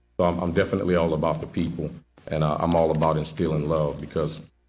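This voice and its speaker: A man's very deep, low voice, flat and monotone at a very fast pace, with audible room echo. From New Orleans, Louisiana. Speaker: police sergeant, job candidate. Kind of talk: job interview before committee. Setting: public committee meeting, broadcast. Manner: halting, with fillers and repetitions.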